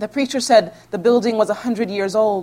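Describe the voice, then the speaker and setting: Speaking at a moderate pace with fairly even intonation, a woman has an unremarkable speaking voice. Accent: American. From Houston, Texas. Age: 30s. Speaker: author. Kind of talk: reading aloud; author talk and Q&A. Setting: library event with audience.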